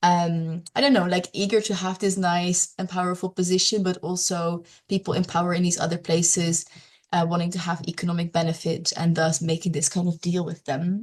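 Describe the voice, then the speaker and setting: Speaking at a fairly quick pace, a woman with a Dutch accent sounds somewhat breathy and keeps a monotone, flat intonation. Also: fairly low pitch for a woman. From Netherlands. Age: young. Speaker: climate and peatland advocate. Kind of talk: online presentation. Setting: online meeting.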